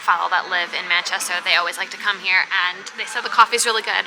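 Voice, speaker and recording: A woman speaks in an American accent. Music plays in the background. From New York. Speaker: travel vlogger. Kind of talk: casual chat. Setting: outdoors.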